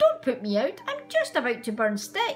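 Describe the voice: A put-on character voice breaks into cackling. The pace is moderate. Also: woman.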